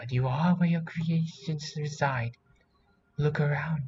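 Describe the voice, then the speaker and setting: In a put-on character voice, a man speaks at a fairly slow pace with a fairly high pitch. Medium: read story. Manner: soft, motherly.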